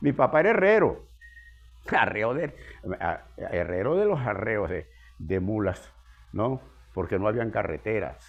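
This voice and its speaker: A man talks fairly slowly with vocal fry, very wide pitch swings, and long, frequent pauses. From Venezuela, Andes (Zea, Mérida state). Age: 80s+. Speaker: geographer and local historian. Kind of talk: interview. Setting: at his home.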